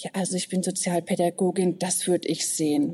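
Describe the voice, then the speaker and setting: An ordinary speaking voice at a moderate pace. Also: woman. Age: 40s. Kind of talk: interview conversation.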